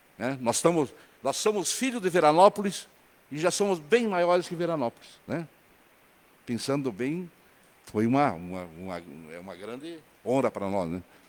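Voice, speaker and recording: A man with a fairly high voice speaks at a moderate pace, his pitch swinging very widely and his loudness rising and falling sharply, with long, frequent pauses. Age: 70s. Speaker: city councillor. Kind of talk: council session speech. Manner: halting, repeats words.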